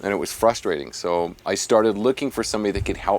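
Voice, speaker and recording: This man has a fairly low pitch and an American accent, with ordinary pitch variation. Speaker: vocal coach. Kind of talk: interview.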